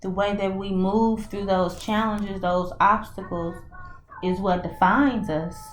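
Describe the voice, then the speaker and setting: A woman with an American accent at a very slow pace, her intonation monotone and flat, with music in the background and audible room echo. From US South, Mississippi. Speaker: spiritual reader and coach. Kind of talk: channeled oracle and tarot message. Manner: halting, with frequent fillers and restarts.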